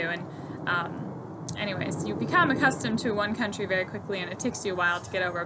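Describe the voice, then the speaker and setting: A woman talks at a very fast pace. The room echo is audible, and background noise is noticeable. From Germany, then Florida from age ~9. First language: German. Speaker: horse trainer and stable owner. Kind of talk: casual vlog introduction.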